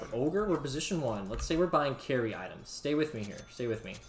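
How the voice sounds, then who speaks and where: A man with a fairly high-pitched voice is heard through noticeable background noise. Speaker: game coach and video creator. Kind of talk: patch notes commentary with gameplay demo. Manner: casual, filler-heavy.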